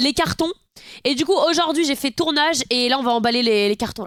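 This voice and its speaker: The intonation is lively. The tone is bright and sharp. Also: woman. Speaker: streamer. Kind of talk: casual live-stream chat. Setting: at home, live stream. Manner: fast.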